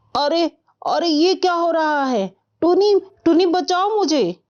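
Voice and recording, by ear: A woman puts on a character voice at an extremely high pitch with a slightly mellow tone. She speaks at a slow pace with lively intonation.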